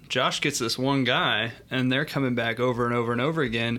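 A man with an unremarkable speaking voice talks at a fairly quick pace. His pitch sits in the medium range. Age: young. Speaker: personal trainer, co-host. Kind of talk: casual podcast chat.

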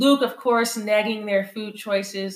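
A woman speaks with an American accent at a moderate pace. It is an ordinary speaking voice. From California. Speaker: podcast co-host. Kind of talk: casual chat.

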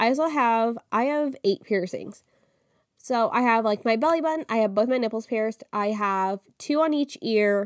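Fairly high in pitch, a woman talks at a moderate pace with ordinary pitch variation and very even loudness. The recording is dry and close with no echo. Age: 20s. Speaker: podcast host. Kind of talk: casual solo monologue.

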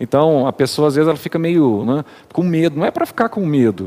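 A man's dark, mellow tone, fairly high in pitch, with lively intonation at a moderate pace. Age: 40s. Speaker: church elder. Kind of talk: casual chat.

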